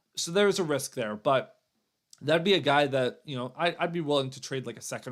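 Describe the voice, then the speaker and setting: A man at a fairly quick pace in a very clean recording with a silent background. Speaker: sports show host. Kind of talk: live stream hockey analysis. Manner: fast; casual, conversational.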